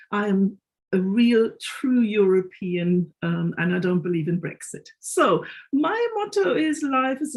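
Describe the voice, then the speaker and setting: A woman with a German accent speaks in very wide pitch swings. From Germany. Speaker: careers consultant. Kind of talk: webinar panel introduction.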